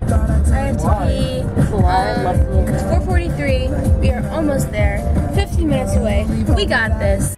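A woman speaking at a very slow pace over loud background music. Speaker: vlogger. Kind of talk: casual vlog chat. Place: car. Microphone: phone near.

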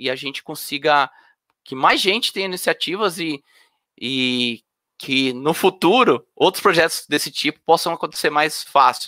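Over a quiet background, a man's bright, sharp voice sits at a fairly high pitch, the sound dry with no echo. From Brazil, Sorocaba, São Paulo state; São Paulo state, Brazil. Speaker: electrical engineer and open hardware project lead; speaker. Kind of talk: conference talk. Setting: online event. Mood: friendly, relaxed. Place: home room. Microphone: webcam.

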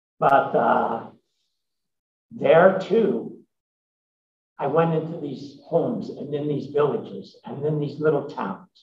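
Speech with lively intonation comes at a very slow pace with long, frequent pauses, somewhat breathy, amid light background noise and audible room echo. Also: man, fairly high pitch for a man. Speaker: emeritus professor and social entrepreneur. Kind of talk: interview answers at a symposium. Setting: stage with audience. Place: meeting room. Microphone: podium.

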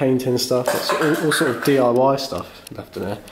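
Against light background noise, a man talks at a fairly slow pace with fairly even intonation. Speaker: urban explorer vlogger. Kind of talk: casual vlog chat. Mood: curious, hushed. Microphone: phone near.

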